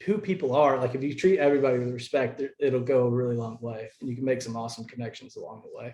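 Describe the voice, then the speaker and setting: A man speaking at a very fast pace with hardly any pauses, medium in pitch, with ordinary pitch variation and big swings in loudness. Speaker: angler and content creator. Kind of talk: interview. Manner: halting, self-correcting.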